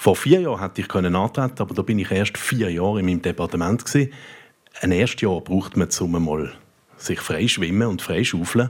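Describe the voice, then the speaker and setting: Fairly quick speech from a man with a very deep, low pitch. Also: ordinary pitch variation. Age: 40s. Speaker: politician. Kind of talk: panel debate. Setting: stage with audience.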